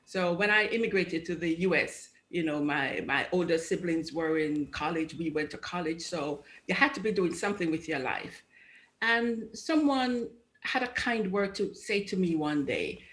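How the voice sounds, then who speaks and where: A woman with a Jamaican accent talks at a moderate pace with lively intonation. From Jamaica, Kingston. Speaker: judge. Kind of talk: TV interview. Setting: video call.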